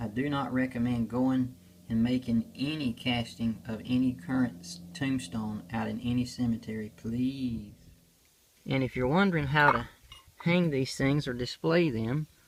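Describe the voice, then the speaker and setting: A man in a South Carolina accent, medium pitch with ordinary pitch variation, at a moderate pace. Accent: Southern US, South Carolina. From US South, South Carolina. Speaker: stone carver and craft seller. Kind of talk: show-and-tell tutorial. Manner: relaxed, with filler pauses.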